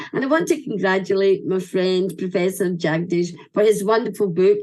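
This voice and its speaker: In a Scottish accent, a woman speaks with an animated tone at a medium pitch. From Scotland. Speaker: event speaker. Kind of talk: ceremony speech.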